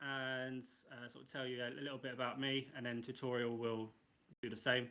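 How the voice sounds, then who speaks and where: A man speaks with an English accent. His pace is fairly quick. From England, Coventry. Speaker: NFT project co-founder. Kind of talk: casual online AMA.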